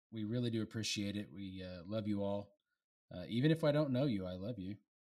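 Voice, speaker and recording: On a very clean recording with a silent background, a man with an unremarkable speaking voice talks at a fairly quick pace in a fairly low pitch with ordinary pitch variation. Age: 40s. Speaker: beer review podcast co-host. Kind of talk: casual chat.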